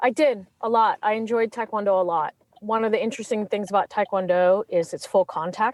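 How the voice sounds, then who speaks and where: A woman with a Californian accent speaks at a fairly quick pace and a fairly high pitch, with ordinary pitch variation. The sound is dry and close with no echo, against a quiet background. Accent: California. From England then California. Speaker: criminal defense attorney. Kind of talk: interview. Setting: podcast interview.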